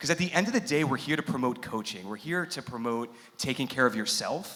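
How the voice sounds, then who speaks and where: Over noticeable background noise, a man with an American accent talks at a fairly quick pace in a medium pitch, his intonation lively. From New York. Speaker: coaching company executive. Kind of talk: workshop panel talk. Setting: seminar venue with live audience. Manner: loud. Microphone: microphone may be cutting out.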